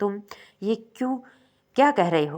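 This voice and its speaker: A woman's put-on character voice at medium pitch. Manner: nervous, flustered.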